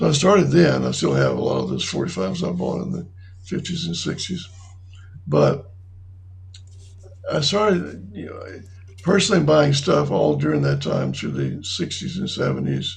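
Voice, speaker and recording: A man with a North Carolina accent at a moderate pace, with long, frequent pauses and audible room echo. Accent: US Southern (North Carolina). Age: 70s. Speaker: retirement community resident. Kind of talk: interview. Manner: halting.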